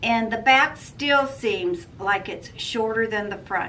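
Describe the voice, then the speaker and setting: Her pitch is fairly high, with ordinary variation, as the woman speaks at a fairly slow pace. Room echo is audible. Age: 60s. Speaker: sewing vlogger. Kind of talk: casual product review. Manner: casual, hesitant with fillers.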